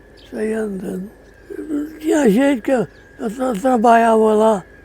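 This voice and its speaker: His pitch is high for a man. The man's tone is dark and mellow. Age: 80s+. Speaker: former farm worker, elderly witness. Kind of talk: testimony.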